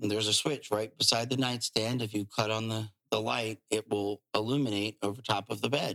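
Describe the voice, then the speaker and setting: A man with an American accent, fairly low pitch, bright, sharp tone and monotone, flat intonation, at a fairly quick pace with hardly any pauses, in a dry, close sound with no echo. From Virginia, small town (Urbana). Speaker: realtor. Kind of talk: casual interview.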